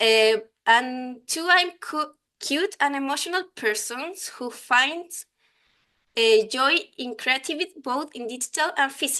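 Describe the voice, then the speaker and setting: A woman with a Chilean accent speaks in a raised, projected voice at a fairly slow pace, her high, bright, sharp tone carrying lively intonation over a quiet background. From Chile, Santiago. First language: Spanish. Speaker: software design lead and conference speaker. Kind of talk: conference talk. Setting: online conference. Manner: halting, many fillers.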